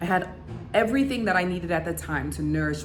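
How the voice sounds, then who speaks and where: Through audible room echo and noticeable background noise, a woman talks with an American accent. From United States. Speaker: YouTuber and business coach. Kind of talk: vlog monologue. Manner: conversational with frequent fillers.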